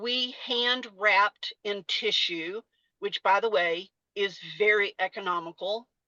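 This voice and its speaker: Dry and close with no echo, a woman's bright, sharp voice carries a Texas accent over a quiet background. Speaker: salon industry educator and former salon owner. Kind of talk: webinar presentation. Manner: casual, conversational with fillers.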